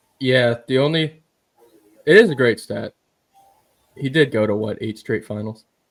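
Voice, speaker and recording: A man with a Philadelphia accent talks at a moderate pace in a medium pitch, with ordinary pitch variation. He takes long, frequent pauses, and his loudness swings widely. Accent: Philly. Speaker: sports podcast co-host. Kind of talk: casual chat.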